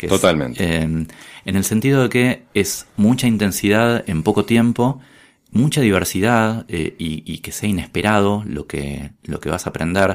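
On a very clean recording with a silent background, a man with an ordinary speaking voice talks at a fairly slow pace, his fairly low pitch carrying lively intonation. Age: 40s. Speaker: journalist and economist. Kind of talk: casual interview.

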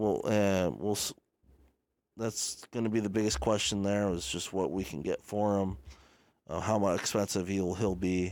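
A man with a fairly low pitch and a plain, everyday voice speaks at a moderate pace with fairly even intonation, in a very clean recording with a silent background. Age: 20s. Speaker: sports podcast host. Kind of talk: solo sports commentary podcast. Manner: casual, filler-heavy.

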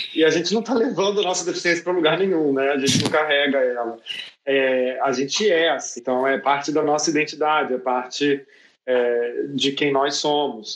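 A man with an unremarkable speaking voice, fairly high in pitch, with ordinary pitch variation and very even loudness. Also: moderate pace. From Brazil. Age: 30s. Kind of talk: online panel debate.

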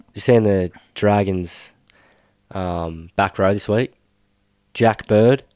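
In an Australian accent, the voice moves at a very slow pace with long, frequent pauses, fairly even intonation and a dark, mellow tone, the sound dry and close with no echo. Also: man, fairly low pitch for a man, very clean recording, silent background. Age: 20s. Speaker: sports podcast host. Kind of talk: casual chat.

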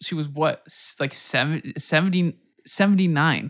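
The man has an unremarkable speaking voice, fairly high in pitch with ordinary pitch variation and a fairly slow pace, captured with a dry, close sound with no echo on a very clean recording with a silent background. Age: 20s. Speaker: music producer. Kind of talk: casual chat.

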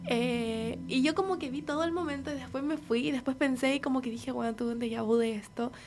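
With a Chilean accent, a woman talks at a fairly quick pace in a high voice with lively intonation and hardly any pauses. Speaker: friend of the host. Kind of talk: casual chat.

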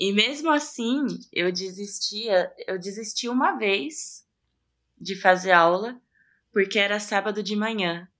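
On a very clean recording with a silent background, a woman speaks at a very slow pace with a medium pitch and ordinary pitch variation. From Ferraz de Vasconcelos, São Paulo state, Brazil. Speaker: drummer and singer. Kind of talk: interview.

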